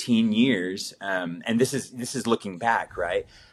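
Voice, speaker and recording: Speaking at a moderate pace with an American accent, a man uses an ordinary speaking voice with ordinary pitch variation in a very clean recording with a silent background. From Italy (American family). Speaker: missionary. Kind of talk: casual chat.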